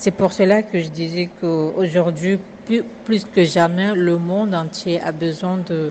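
A woman talks at a very slow pace with a fairly low pitch and fairly even intonation. Noticeable background noise runs under her voice. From Comoros. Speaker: investigative journalist. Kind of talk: vox pop comment.

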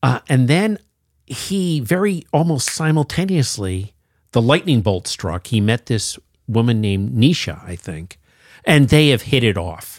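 A man at medium pitch and fairly slow pace, very wide pitch swings, dry, close sound with no echo, and a very clean recording with a silent background. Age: 60s. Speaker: longtime comic shop regular. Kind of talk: casual chat. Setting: studio. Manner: animated.

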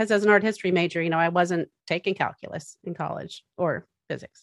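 An ordinary speaking voice at a fairly quick pace, with an American accent. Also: woman. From Massachusetts. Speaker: architect. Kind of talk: casual interview.

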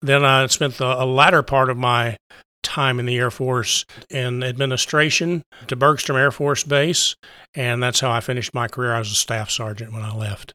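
A man with an American accent, a bright, sharp tone at a medium pitch, and fairly even intonation at a moderate pace, dry and close with no echo in a very clean recording with a silent background. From West Texas, US. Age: 70s. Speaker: LEMS patient, former radio worker. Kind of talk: interview, personal story.

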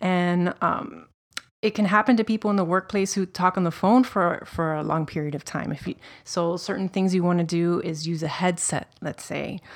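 A woman speaks at a moderate pace in a plain, everyday voice. Her pitch varies in an ordinary way. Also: fairly low pitch for a woman. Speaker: creative director, former nutritionist. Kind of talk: casual interview chat. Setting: studio. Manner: friendly, upbeat.

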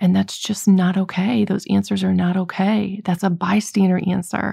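A somewhat breathy woman's voice, dark and mellow in tone, monotone and flat in intonation, on a very clean recording with a silent background. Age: 40s. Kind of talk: faith talk podcast monologue.

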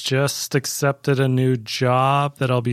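A man with a Canadian accent talks fairly slowly at a medium pitch in an unremarkable speaking voice, the sound dry and close with no echo on a very clean recording with a silent background. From Canada. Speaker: registered nurse. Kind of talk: personal testimony in casual interview. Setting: studio.

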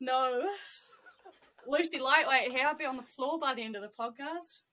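A woman's high, raised, projected voice, bright and sharp in tone, with ordinary pitch variation. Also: moderate pace. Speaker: trainee teacher. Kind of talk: casual chat.

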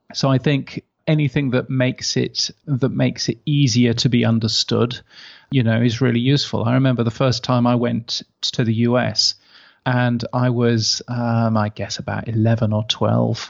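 Speaking with an English accent, a man keeps a moderate pace and a monotone, flat intonation. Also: medium pitch for a man. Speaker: podcast industry expert and newsletter editor. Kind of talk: casual interview. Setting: video call.

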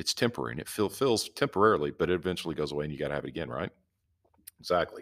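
Speaking very fast with a Southern US accent, a man uses a very deep, low pitch with vocal fry and very wide pitch swings, in a very clean recording with a silent background. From US South. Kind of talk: devotional teaching. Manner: casual, folksy.

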